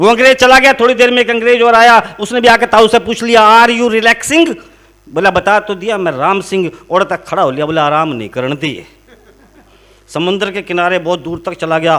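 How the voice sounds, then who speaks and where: A man with a Haryana accent speaks at a high pitch and a moderate pace. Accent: Haryanvi. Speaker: comic poet. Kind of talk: comic poetry and jokes on stage before a live audience.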